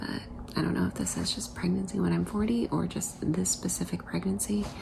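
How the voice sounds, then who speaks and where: There is noticeable background noise. Over it, a woman speaks at a moderate pace. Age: 40s. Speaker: vlogger. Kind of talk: casual vlog. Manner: halting; soft-spoken.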